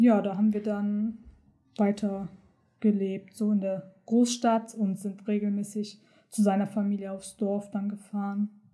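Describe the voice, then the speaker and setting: Fairly slow, somewhat breathy speech from a woman, medium-pitched with a dark, mellow tone and monotone, flat intonation. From Hamburg, northern Germany, partly raised in Turkey. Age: 20s. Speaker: medical assistant. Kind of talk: personal testimony interview.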